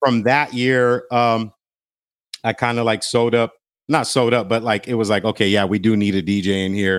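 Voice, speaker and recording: Over a silent background in a very clean recording, a man with an American accent speaks at a moderate pace. His pitch is medium, his intonation fairly even and his loudness very even. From Los Angeles, Glendale. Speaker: DJ and radio personality. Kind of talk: casual interview chat.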